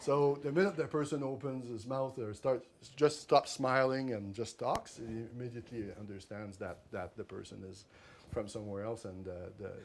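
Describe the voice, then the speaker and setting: A man with a French accent at medium pitch and moderate pace, with ordinary pitch variation and big swings in loudness. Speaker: author. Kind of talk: book talk. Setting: library talk with audience. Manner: halting, many repetitions.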